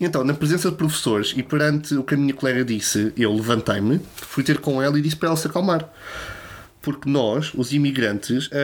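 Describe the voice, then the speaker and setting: Speaking with a European Portuguese accent, a man with a fairly high pitch talks at a moderate pace with ordinary pitch variation over noticeable background noise. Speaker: podcast host. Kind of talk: monologue; casual chat. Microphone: new microphone.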